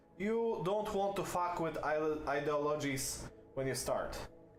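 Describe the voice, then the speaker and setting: Over music in the background and audible room echo, a man with a non-native accent speaks with lively intonation. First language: not English. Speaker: video game streamer. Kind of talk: gameplay commentary. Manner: hesitant, many fillers.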